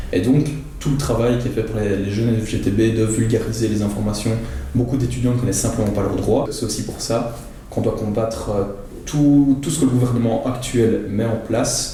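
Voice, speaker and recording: With audible room echo and noticeable background noise, a man speaks at a moderate pace in a medium pitch and fairly even intonation. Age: 20s. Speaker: student worker. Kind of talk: interview testimony. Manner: hesitant, frequent fillers.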